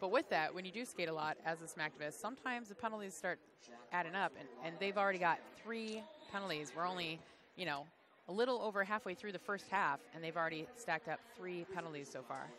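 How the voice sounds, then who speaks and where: A woman's animated, very fast voice, fairly low in pitch, with ordinary pitch variation and a Chicago accent. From Chicago area, US Midwest. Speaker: roller derby commentator. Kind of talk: live commentary. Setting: commentary booth at a live event.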